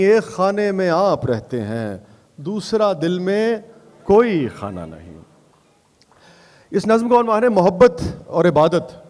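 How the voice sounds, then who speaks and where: Speaking with a Punjabi accent, a man uses a high pitch. His intonation is lively. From Pakistan. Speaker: poet. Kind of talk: poetry reading at a mushaira.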